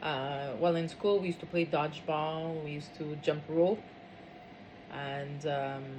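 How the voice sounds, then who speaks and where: Speech at a fairly slow pace with fairly even intonation carries audible room echo. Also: woman. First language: French. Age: 50s. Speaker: interviewee. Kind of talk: interview. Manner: hesitant, many fillers.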